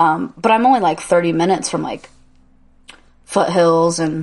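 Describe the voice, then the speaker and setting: A woman with an American accent speaks at a moderate pace and a fairly low pitch. She takes long, frequent pauses. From Indiana. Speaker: podcast co-host. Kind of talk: casual chat.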